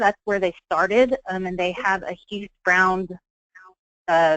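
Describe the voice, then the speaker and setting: Recorded with a dry, close sound and no echo, a woman speaks at a medium pitch. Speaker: travel agency trainer. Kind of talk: training presentation. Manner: fast.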